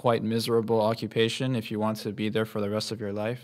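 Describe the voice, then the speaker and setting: In a very clean recording with a silent background, a man with an American accent uses a plain, everyday voice at medium pitch and a fairly quick pace. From Guam. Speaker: university student, podcast co-host. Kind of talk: casual chat.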